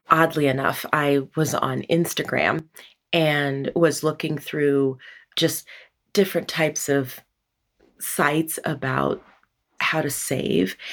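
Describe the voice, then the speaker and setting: A woman's very deep, low voice with vocal fry, fairly even intonation, a very slow pace and long, frequent pauses. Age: 40s. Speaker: healthcare worker. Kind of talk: interview, personal money story.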